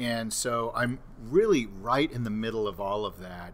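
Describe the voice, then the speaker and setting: Audible room echo surrounds a man speaking at a medium pitch with an American accent. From Southern California. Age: 60s. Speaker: mental health clinician. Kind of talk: interview podcast. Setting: live on-location recording at a conference.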